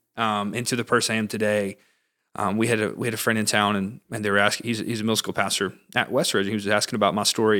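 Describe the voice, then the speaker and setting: Bright, sharp tone from a man with a fairly low pitch at a very fast pace, on a very clean recording with a silent background. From US South, Georgia (northwest Atlanta area). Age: 20s. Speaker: pastor. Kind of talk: casual chat.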